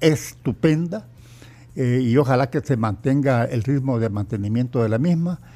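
Talking at a moderate pace, a man with a medium-pitched voice and a dark, mellow tone shows ordinary pitch variation. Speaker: economist and trade consultant. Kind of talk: radio interview.

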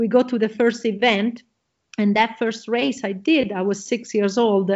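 Speaking at a moderate pace, a woman with an Italian accent has a fairly high pitch. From Italy. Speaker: motocross champion and entrepreneur. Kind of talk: interview. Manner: excited.

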